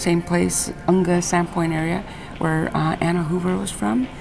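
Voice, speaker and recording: Music plays in the background as a woman speaks at a fairly low pitch. Her pace is moderate. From Alaska, Aleutian Islands. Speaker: traditional artist and teacher. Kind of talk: interview. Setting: school visit.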